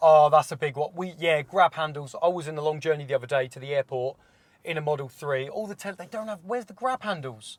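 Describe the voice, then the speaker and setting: With a British accent, a man speaks at a very fast pace, his fairly high pitch showing ordinary variation and his loudness swinging widely. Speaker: car reviewer. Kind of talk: casual car review chat.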